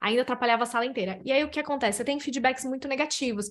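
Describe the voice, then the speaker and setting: Against a quiet background, a woman speaks in an animated tone that is bright and sharp, with ordinary pitch variation. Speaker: psychologist. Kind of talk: casual interview chat.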